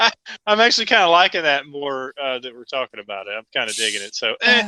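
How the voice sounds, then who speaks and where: A man with a fairly high pitch talks at a very fast pace in a bright, sharp tone, with very wide pitch swings and big swings in loudness. The sound is dry and close, with no echo. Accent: Southern US. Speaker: wrestling podcast co-host. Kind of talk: casual chat.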